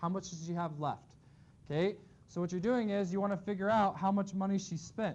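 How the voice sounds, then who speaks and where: At a fairly quick pace, a man talks in a high pitch with fairly even intonation. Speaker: math teacher. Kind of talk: classroom lecture. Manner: fast.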